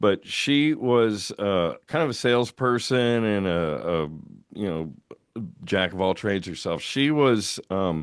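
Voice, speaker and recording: This is a normal speaking voice with lively intonation, moving at a fairly slow pace. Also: man, fairly low pitch for a man. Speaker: voice actor, radio broadcaster, musician. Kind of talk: interview answer.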